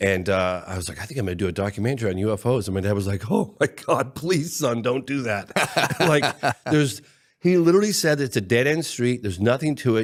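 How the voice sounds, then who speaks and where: Very fast speech with very wide pitch swings, in a very clean recording with a silent background. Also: man. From England. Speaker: documentary filmmaker. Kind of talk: casual podcast interview. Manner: animated storytelling.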